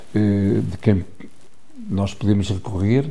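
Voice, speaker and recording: A man with a fairly low pitch speaks at a very slow pace amid audible room echo. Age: 70s. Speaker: photographer. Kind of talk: interview. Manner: halting, with many repetitions and fillers.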